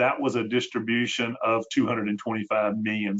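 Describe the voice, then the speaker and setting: Speaking at a moderate pace in a Tennessee accent, a man keeps a medium pitch and a monotone, flat intonation. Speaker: healthcare consultant, webinar host. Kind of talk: webinar presentation. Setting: online webinar. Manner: hesitant, many fillers.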